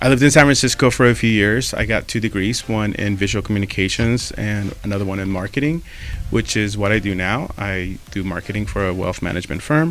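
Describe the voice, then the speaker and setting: With a Mexican accent, a man talks fairly quickly at a fairly low pitch, using ordinary pitch variation. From Mexico. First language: Spanish. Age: 30s. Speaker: podcast co-host, photographer, marketer. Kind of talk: casual chat.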